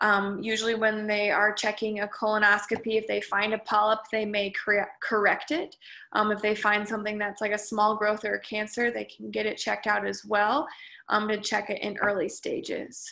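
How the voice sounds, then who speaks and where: A woman at a moderate pace, fairly high-pitched, in a monotone, flat intonation and a bright, sharp tone, over a quiet background. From US Midwest. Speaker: college lecturer. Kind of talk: lecture. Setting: video call. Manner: halting, many filler ums.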